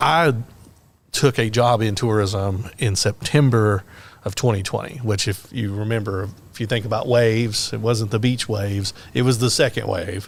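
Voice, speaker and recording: On a very clean recording with a silent background, a man with a Middle Tennessee accent and a fairly low pitch talks at a moderate pace with fairly even intonation. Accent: Southern US (Middle Tennessee). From Tennessee, Lynchburg area. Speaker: podcast host, tourism worker. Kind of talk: casual interview.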